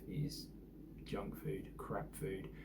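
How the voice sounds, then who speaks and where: A man talks with a British accent. The room echo is audible. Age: 40s. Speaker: vlogger. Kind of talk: casual vlog monologue. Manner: hesitant, many fillers.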